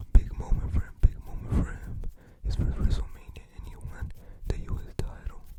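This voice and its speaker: A whisper is heard through noticeable background noise. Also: moderate pace. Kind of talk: casual commentary on wrestling matches. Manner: soft-spoken.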